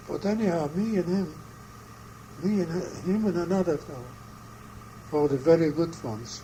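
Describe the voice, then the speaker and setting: With noticeable background noise behind him, a man talks at a moderate pace, his fairly high pitch showing ordinary variation. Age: 80s+. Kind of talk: interview answer. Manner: halting, hesitant.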